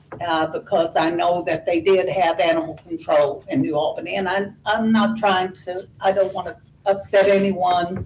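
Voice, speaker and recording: There is noticeable background noise as a woman with an American accent talks at a moderate pace with ordinary pitch variation. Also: medium pitch for a woman. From southern Indiana. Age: 80s+. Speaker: resident giving public comment. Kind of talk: public comment at a government meeting. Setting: county meeting room, at a podium.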